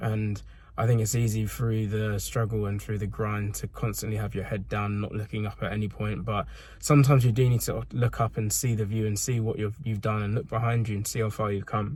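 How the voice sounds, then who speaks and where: The voice is somewhat breathy with monotone, flat intonation. It moves at a fairly quick pace. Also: man. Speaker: fitness vlogger and coach. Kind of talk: casual vlog monologue. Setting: in a car. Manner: halting.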